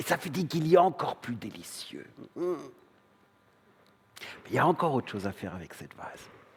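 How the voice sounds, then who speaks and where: At a moderate pace, a man with a slight German accent speaks at a fairly high pitch, his voice swinging very widely up and down. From northern Germany. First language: German (speaking French). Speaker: stage performer. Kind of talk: theatre monologue. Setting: stage with audience.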